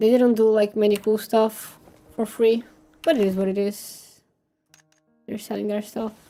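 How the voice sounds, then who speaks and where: Music plays behind a woman with a fairly high pitch and monotone, flat intonation. She keeps a moderate pace with long, frequent pauses. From Brazil. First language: Portuguese. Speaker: vtuber and game streamer. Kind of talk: casual live-stream chat while gaming. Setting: live stream. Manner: halting, with fillers and restarts.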